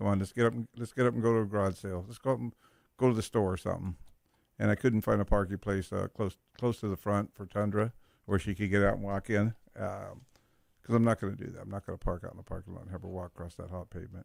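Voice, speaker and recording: A man speaks at a very fast pace in a fairly low pitch, with fairly even intonation and big swings in loudness. The sound is dry and close with no echo, a very clean recording with a silent background. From Southern California. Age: 70s. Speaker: radio host. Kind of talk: casual chat.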